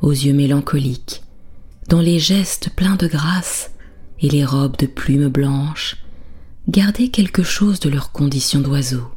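The voice is soothing and gentle in tone, moving at a very slow pace. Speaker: bedtime storyteller. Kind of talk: bedtime story narration, soft lulling fairy-tale telling. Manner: slow, soothing, gentle, calm; softly dramatic, shifts tone for characters.

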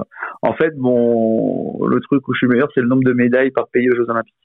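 In a medium pitch, a man delivers his words at a fairly quick speed. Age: 40s. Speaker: former professional sports bettor. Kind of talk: casual interview. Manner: halting, repeats words.

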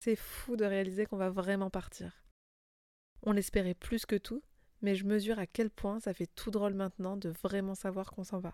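A woman's medium-pitched, dark, mellow voice at a moderate pace, monotone and flat, with long, frequent pauses, in a very clean recording with a silent background and a dry, close sound with no echo. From France. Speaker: lifestyle podcaster. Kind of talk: personal storytelling narration.

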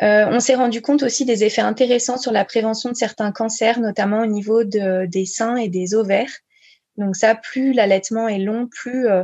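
A woman with a fairly high pitch speaks at a moderate pace in a somewhat breathy, dark, mellow tone with fairly even intonation. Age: 30s. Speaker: breastfeeding counselor and speech therapist. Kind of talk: interview.

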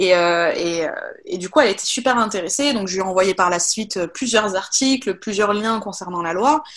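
This woman's voice sits at a medium pitch, moves at a moderate speed, and shifts in pitch in an ordinary way. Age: 20s. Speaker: office worker. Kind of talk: testimony. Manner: halting.

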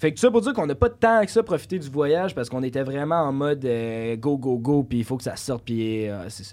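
Talking at a very fast pace, a man has a dark, mellow tone. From Quebec, Saint-Lambert-de-Lauzon. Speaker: content creator. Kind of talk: casual chat.

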